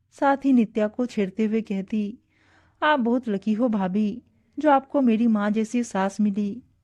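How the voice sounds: Natural voice reading a text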